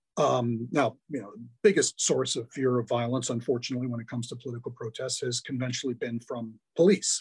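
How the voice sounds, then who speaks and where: A man with an American accent talks at a very fast pace, his voice somewhat breathy and medium in pitch. His loudness swings widely, while his pitch varies in an ordinary way. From US Midwest, Milwaukee, Wisconsin. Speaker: law professor. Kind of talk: interview.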